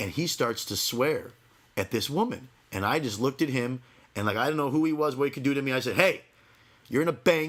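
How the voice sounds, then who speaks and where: A man with a fairly high pitch talks at a fairly quick pace in an animated tone with ordinary pitch variation, though he takes long, frequent pauses. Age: 30s. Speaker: podcast host. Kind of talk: casual chat.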